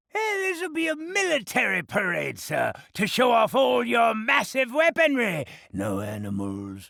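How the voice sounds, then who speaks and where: A cartoonish character voice at a moderate pace. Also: man. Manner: wheedling.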